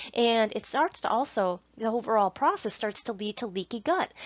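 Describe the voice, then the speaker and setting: A woman speaks at a fairly quick pace, her fairly high voice carrying lively intonation. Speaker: nutrition specialist. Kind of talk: lecture. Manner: halting.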